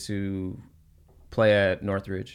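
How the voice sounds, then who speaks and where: The speaker, with an American accent, talks at a fairly slow pace in a monotone, flat intonation. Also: man. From Oxnard, California. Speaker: basketball trainer and coach. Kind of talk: casual chat. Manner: halting.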